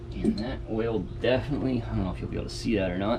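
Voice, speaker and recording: A man at a fairly low pitch with very wide pitch swings and a fairly quick pace, in audible room echo. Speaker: outdoors video creator. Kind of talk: tutorial. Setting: outdoors.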